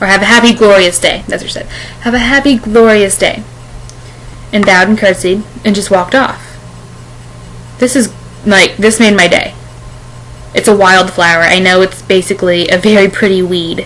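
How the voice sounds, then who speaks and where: Against noticeable background noise, a woman speaks at a moderate pace with fairly even intonation and long, frequent pauses. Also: medium pitch for a woman. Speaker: vlogger. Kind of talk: casual video blog. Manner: halting, self-correcting.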